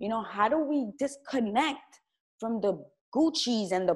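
At a moderate pace, a woman speaks with a fairly high pitch, an animated tone and very wide pitch swings. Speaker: YouTuber and interview host. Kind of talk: casual interview conversation. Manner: animated, excitable.

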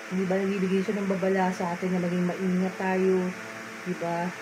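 A woman talks at a moderate pace as noticeable background noise continues. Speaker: vlogger. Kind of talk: casual vlog chat. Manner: sleepy, drowsy low talk in bed. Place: home room. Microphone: phone near.

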